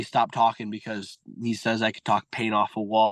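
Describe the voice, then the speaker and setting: The man has an American accent and keeps a moderate pace. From Michigan, US. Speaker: junior hockey player. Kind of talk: casual interview. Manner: loud, talkative.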